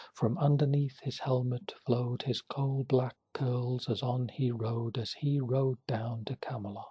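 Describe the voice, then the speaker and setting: Soft-spoken and fairly slow, the speech runs on with hardly any pauses. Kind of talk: poetry reading.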